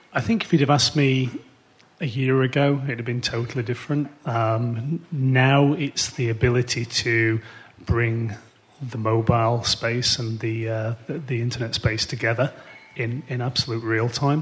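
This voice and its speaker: Using an ordinary speaking voice, a man talks at a moderate pace in a medium pitch with fairly even intonation. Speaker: startup CEO on panel. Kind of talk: panel discussion. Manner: joking, humorous.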